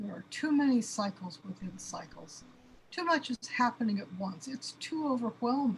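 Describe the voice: Putting on a character voice with a husky, rough edge, a woman speaks at a moderate pace in a fairly high pitch with lively intonation.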